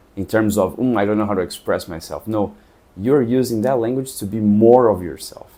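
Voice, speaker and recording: With a Portuguese accent, a man speaks at a fairly quick pace with ordinary pitch variation. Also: fairly low pitch for a man. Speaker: travel vlogger. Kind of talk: casual monologue to camera.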